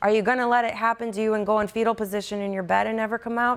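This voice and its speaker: A woman is speaking. Her pace is very fast. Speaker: attorney and abuse survivor advocate. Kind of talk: interview.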